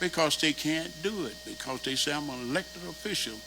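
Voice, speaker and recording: A man at a moderate pace and fairly high pitch, lively in intonation, amid audible room echo and noticeable background noise. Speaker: neighborhood association officer. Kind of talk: public meeting comment. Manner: animated; loud. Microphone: far from the mic, not working.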